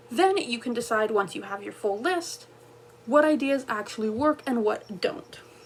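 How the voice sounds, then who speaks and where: A woman with a high-pitched voice speaks at a moderate pace with lively intonation against noticeable background noise. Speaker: self-published fantasy author. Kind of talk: tutorial.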